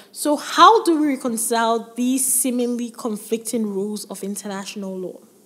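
A woman's fairly high voice with ordinary pitch variation, a moderate pace, hardly any pauses, and noticeable background noise. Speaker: law lecturer. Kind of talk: lecture. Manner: formal.

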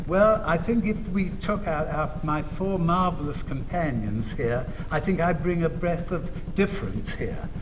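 A man with a high pitch speaks at a fairly slow pace, and his pitch varies in an ordinary way. Noticeable background noise sits behind him. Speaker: researcher on teenagers. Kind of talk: TV talk show interview. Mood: cheerful, lightly humorous. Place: studio.

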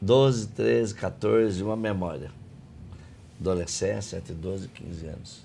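The voice has a dark, mellow tone and lively intonation, with big swings in loudness. It moves at a very slow pace with long, frequent pauses, and the room echo is audible. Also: man, fairly low pitch for a man. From Brazil, outside São Paulo state. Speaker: podcast host and coaching trainer. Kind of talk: interview conversation. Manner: animated.

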